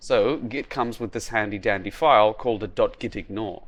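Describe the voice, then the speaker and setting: This is a man with a plain, everyday voice. His pitch is medium and his pace moderate. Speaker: indie game developer. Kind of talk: devlog narration.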